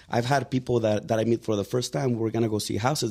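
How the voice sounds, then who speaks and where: A man speaks with a Mexican accent. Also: very clean recording, silent background. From Mexico. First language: Spanish. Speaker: real estate agent. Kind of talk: podcast interview. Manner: casual, many fillers.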